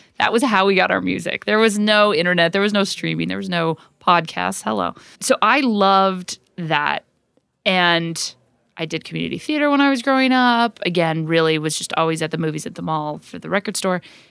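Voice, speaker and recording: In a very clean recording with a silent background, a woman with an American accent talks at a fairly quick pace with lively intonation. She has an ordinary speaking voice, fairly low in pitch. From Utah. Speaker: corporate events executive. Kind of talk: interview.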